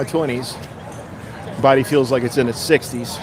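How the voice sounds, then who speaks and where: This man has a fairly high pitch and fairly even intonation at a moderate pace. Noticeable background noise sits behind him. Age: 40s. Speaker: livestreamer filming a protest. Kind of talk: live stream commentary.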